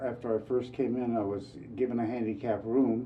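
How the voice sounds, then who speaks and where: Audible room echo surrounds a man's voice. He has a medium pitch and talks at a moderate pace with fairly even intonation. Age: 70s. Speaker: resident of community housing. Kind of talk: testimony interview. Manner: halting.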